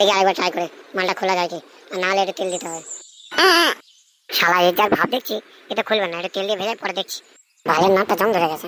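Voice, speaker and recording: In a cartoonish character voice, a female-sounding speaker rumbles at a middle pitch and a very fast pace with fairly even intonation. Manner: grumbling, coarse.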